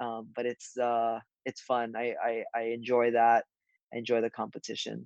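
With a Hawaiian accent, a man speaks at a moderate pace and medium pitch in a monotone, flat delivery, the sound dry and close with no echo. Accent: Hawaiian American. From Hawaii, Honolulu. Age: 20s. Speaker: professional golfer. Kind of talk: casual interview. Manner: halting, many fillers.

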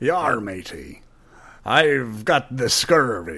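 Over a very clean recording with a silent background, a man uses a put-on character voice at medium pitch and a very slow pace.

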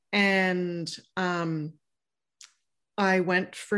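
A woman's fairly low-pitched voice with fairly even intonation, against a quiet background. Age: 50s. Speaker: life and empowerment coach, former teacher. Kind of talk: interview.

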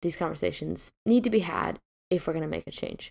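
Vocal fry at a moderate pace, dry and close with no echo. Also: woman. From US Midwest. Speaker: podcast host. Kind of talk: solo podcast monologue.

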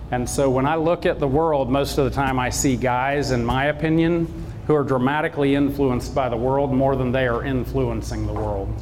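Music plays behind a man with a Southern US accent who speaks at a fairly quick pace with hardly any pauses, his voice carrying audible room echo. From US South, South Georgia. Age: 40s. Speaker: motivational speaker. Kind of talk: inspirational talk to an audience.

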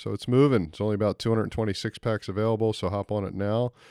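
A man with an American accent in a normal speaking voice, fairly low pitch, fairly even intonation and a fairly quick pace, on a very clean recording with a silent background and a dry, close sound with no echo. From United States. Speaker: podcast host and winemaker. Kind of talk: sponsor read; casual chat.

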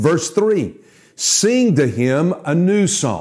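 A man speaks with very wide pitch swings. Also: very clean recording, silent background. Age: 60s. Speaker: preacher. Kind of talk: devotional bible teaching.

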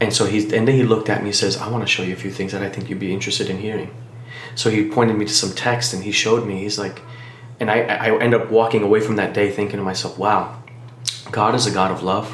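A man with an American accent talks very fast with a fairly low pitch and flat, monotone intonation. Noticeable background noise and audible room echo fill the recording. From Miami, Florida. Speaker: pastor. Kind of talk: testimony.

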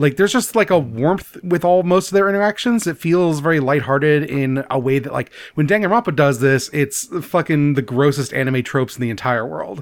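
A man with an ordinary speaking voice talks at a fairly quick pace with hardly any pauses, fairly high in pitch and with lively intonation, in a very clean recording with a silent background. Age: 30s. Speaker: podcast co-host, game club host. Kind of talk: casual chat.

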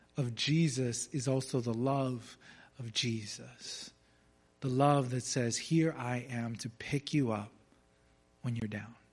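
A somewhat breathy man at medium pitch, speaking at a very slow pace with fairly even intonation and long, frequent pauses, over a quiet background. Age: 30s. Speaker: pastor. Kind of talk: sermon.

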